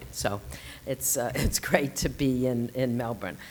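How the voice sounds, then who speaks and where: A woman speaks with a Boston accent at a moderate pace. There is noticeable background noise. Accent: Boston, non-rhotic. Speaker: lecturer, non-profit leader. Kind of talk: lecture.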